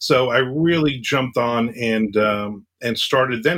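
Using a plain, everyday voice, a man speaks at a medium pitch with ordinary pitch variation. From New Jersey. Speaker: thriller and horror author. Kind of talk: casual interview chat.

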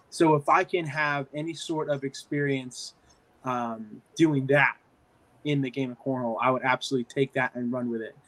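In a normal speaking voice, a man talks at a moderate pace with fairly even intonation and a fairly high pitch. The sound is dry and close, with no echo. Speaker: cornhole commentator and player. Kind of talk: casual interview. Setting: video call.

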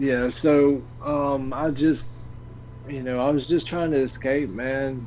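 A man's medium-pitched voice at a very slow pace, with monotone, flat intonation. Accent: Southern US. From US South. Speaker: stream creator and podcaster. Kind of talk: casual interview chat. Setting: online stream call.

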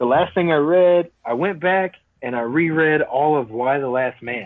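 At a moderate pace, a man with a plain, everyday voice speaks with ordinary pitch variation. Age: 30s. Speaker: soldier. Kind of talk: casual chat. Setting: video call.

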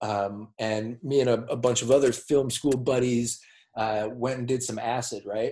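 A man with an American accent speaks at a moderate pace in a medium-pitched, dark, mellow voice. His intonation stays monotone and flat. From Minnesota (Minneapolis). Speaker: podcast host. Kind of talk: casual chat.

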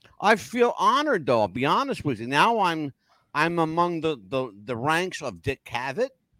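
An animated man with an American accent speaks at a moderate pace with very wide pitch swings. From US North. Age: 60s. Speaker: podcast host. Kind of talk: casual chat. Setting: live video call.

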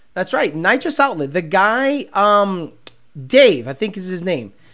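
Animated and raised, a man's high-pitched voice has a bright, sharp tone. He moves at a moderate pace with very wide pitch swings. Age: 40s. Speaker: car podcast host and racer. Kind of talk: casual chat.

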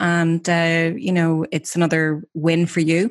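A woman talks with a fairly low pitch. The recording is very clean, with a silent background. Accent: Irish. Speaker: radio co-host, social media trainer. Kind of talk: casual chat show.

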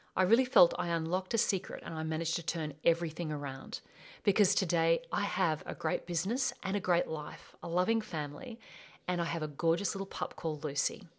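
With an Australian accent, a woman talks at a fairly quick pace in a fairly low pitch, her pitch varying in an ordinary way, on a very clean recording with a silent background. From Australia (rural bush). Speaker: life coach and podcast host. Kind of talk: solo podcast monologue.

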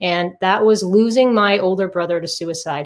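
A woman speaks in an unremarkable speaking voice with an American accent. Her medium pitch shows ordinary pitch variation. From Massachusetts, US. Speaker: author and decluttering coach. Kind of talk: interview.

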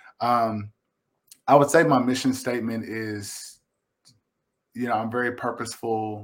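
A man's medium-pitched voice with a Kentucky accent, fairly slow and fairly even in intonation. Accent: Kentucky Southern US. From Kentucky, Lexington. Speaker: visual artist. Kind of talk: casual interview. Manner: halting.

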